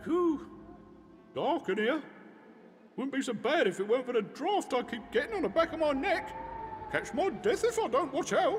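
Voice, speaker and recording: Over clear background noise, a man uses a put-on character voice at an extremely high pitch, leaving long, frequent pauses. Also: moderate pace. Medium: video game. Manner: chatty, rambling.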